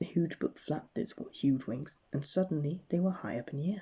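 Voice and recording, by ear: Someone is whispering at a moderate pace. The whisper has a husky, rough edge.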